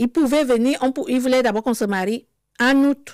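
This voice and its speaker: A woman's high-pitched voice at a fairly quick pace, with ordinary pitch variation and a dry, close sound with no echo. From Cameroon. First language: Cameroonian local language (speaking French). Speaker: interviewee sharing life story. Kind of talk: testimony. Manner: halting.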